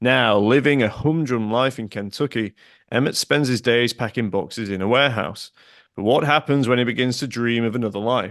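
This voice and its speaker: A normal speaking voice with ordinary pitch variation. The pace is fairly quick. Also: man, medium pitch for a man. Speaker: podcast host. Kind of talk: podcast intro read.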